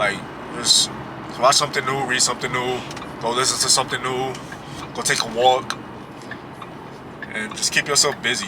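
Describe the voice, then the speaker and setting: Against noticeable background noise, a man speaks in a monotone, flat intonation with long, frequent pauses. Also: medium pitch for a man, moderate pace. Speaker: vlogger. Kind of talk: casual motivational vlog talk. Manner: loud when projecting.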